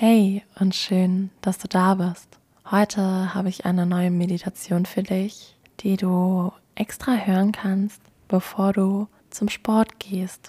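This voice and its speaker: A woman's calm, somewhat breathy voice with a dark, mellow tone, medium pitch and monotone, flat intonation at a very slow pace, in a very clean, dry, close recording with no echo and a silent background. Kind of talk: guided meditation. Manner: calm, soft and unhurried.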